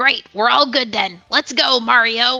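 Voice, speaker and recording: A woman puts on a raspy, cartoonish character voice, high in pitch and fairly slow, with music in the background. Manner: bubbly.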